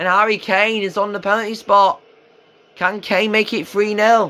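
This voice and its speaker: A man speaks in a raised, projected voice that is high-pitched, with a bright, sharp tone. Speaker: football video game commentator. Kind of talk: sports commentary. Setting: video game commentary voiceover. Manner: excitable on goals, otherwise flat and matter-of-fact. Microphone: phone near.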